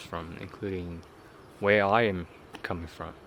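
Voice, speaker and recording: In a Chinese accent, a man speaks at a fairly slow pace with ordinary pitch variation. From southern China. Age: 30s. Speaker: vlogger. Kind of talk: unscripted personal vlog. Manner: halting, many fillers.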